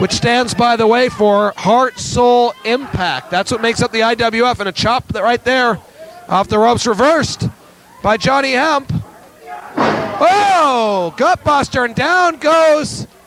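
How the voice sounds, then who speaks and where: There is noticeable background noise as a man talks at a fairly slow pace. His pitch is extremely high and his intonation lively. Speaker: wrestling announcer. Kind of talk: live wrestling play-by-play commentary.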